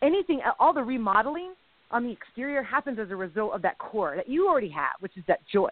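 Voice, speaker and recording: A woman with a high pitch talks fairly quickly, her voice swinging through very wide pitch changes. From Mexican-American. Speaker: comedian and podcast co-host. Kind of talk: casual chat. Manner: animated.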